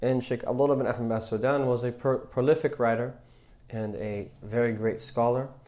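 There is audible room echo as a man talks at a fairly quick pace. His medium-pitched voice has a dark, mellow tone and monotone, flat intonation. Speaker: Islamic religious teacher. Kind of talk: religious class lecture. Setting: mosque class, live streamed. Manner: hesitant with many fillers.

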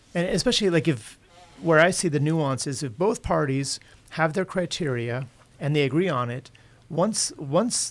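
A man talks in an ordinary speaking voice, fairly high in pitch, with ordinary pitch variation. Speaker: financial adviser. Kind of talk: casual chat. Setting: studio.

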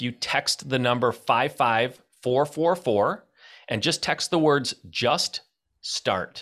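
An American accent marks a man's ordinary speaking voice, medium in pitch, captured in a very clean recording with a silent background. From Michigan. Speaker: real estate investor and entrepreneur. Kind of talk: interview.

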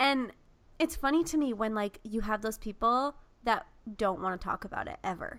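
A woman speaks in a plain, everyday voice with a fairly high pitch. Her pace is moderate and her intonation lively. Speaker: podcast host. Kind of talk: casual chat.

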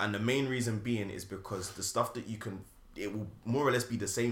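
A man with a London accent, fairly low in pitch, with fairly even intonation. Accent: British, London urban. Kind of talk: casual chat.

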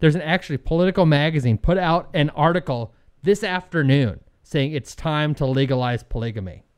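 A man with a normal speaking voice at a fairly high pitch, lively intonation and a fairly quick pace, over a quiet background. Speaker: podcast co-host. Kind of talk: casual chat. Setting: studio.

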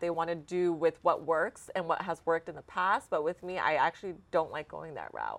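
With an American accent, a woman speaks at a fairly low pitch in a normal speaking voice. The sound is dry and close, with no echo. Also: very clean recording, silent background. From Texas, Dallas. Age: 30s. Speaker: real estate company founder. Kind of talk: interview.

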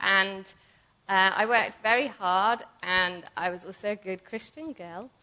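Delivered in an English accent, the voice has a bright, sharp tone and ordinary pitch variation. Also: woman. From southern England. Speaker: ministry school student. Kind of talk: sermon. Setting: church.

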